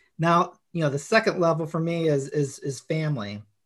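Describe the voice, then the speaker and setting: A man with an unremarkable speaking voice talks at a moderate pace in a fairly high pitch against a quiet background. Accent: American. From Chicago, US Midwest. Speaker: author. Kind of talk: casual podcast interview.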